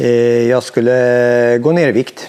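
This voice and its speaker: A man talks with a medium pitch. He keeps a fairly slow pace. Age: 60s. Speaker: veteran mountain biker. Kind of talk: interview. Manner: hesitant, many fillers.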